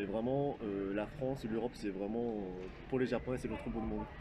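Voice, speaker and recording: With a Japanese accent, a man speaks at a fairly low pitch with fairly even intonation. Audible room echo and noticeable background noise fill the recording. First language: Japanese (speaking French). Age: 20s. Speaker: YouTuber. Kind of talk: interview. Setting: convention event. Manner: halting, many hesitations.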